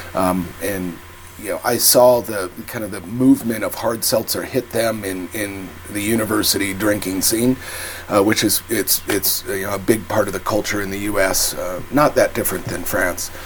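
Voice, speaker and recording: There is noticeable background noise as a man speaks with an American accent at a moderate pace. His voice is fairly low, and his intonation is fairly even. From England or US. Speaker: hard seltzer company co-founder. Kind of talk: casual interview.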